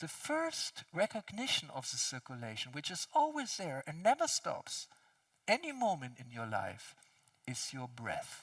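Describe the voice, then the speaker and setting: A man with a non-native accent at a fairly slow pace, big swings in loudness and a dry, close sound with no echo. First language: not English. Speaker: speaker on consciousness and physics. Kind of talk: conference talk.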